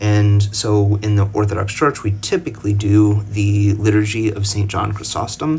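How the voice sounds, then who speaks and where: A man with an American accent talks at a moderate pace, his pitch fairly low. His intonation stays fairly even, and there is noticeable background noise. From United States. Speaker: religious commentator. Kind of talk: casual explainer talk to camera. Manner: halting, many fillers and restarts.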